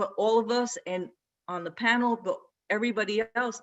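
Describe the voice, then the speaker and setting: At a moderate pace, a woman talks at a fairly high pitch with ordinary pitch variation. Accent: Brooklyn. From Brooklyn, New York, Puerto Rican family. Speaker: athletic director. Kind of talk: panel discussion. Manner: casual, mixes in Spanish.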